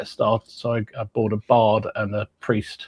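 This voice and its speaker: A man with an English accent talks at a medium pitch. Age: 60s. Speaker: podcast co-host, hobby wargamer. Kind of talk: casual chat.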